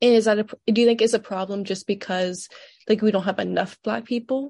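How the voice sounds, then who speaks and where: In a quiet background with a dry, close sound and no echo, a woman with an American accent speaks at a moderate pace, somewhat breathy, with fairly even intonation. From Georgia, US South. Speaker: student interviewer. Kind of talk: interview.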